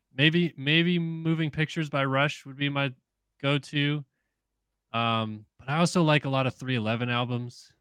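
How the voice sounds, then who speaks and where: A normal speaking voice from a man with an American accent, fairly high in pitch, fairly even in intonation, at a fairly slow pace, dry and close with no echo over a quiet background. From US West Coast, San Diego. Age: 30s. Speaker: motocross journalist. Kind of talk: casual chat.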